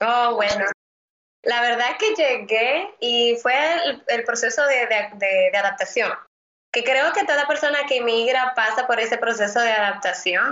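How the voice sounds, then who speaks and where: With a Dominican accent, a woman talks at a fairly slow pace in a high pitch. Her loudness is very even. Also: ordinary pitch variation. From Dominican Republic, Santo Domingo. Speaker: immigration lawyer. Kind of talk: interview. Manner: halting, many repeated words.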